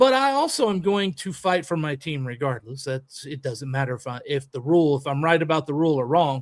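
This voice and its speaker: A man talks at a fairly quick pace with hardly any pauses. His pitch is fairly high, with ordinary variation. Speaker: podcast host; youth baseball coach. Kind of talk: casual chat. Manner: animated.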